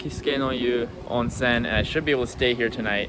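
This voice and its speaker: Noticeable background noise and audible echo from the room around a man's voice. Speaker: travel vlogger. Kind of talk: casual vlog narration.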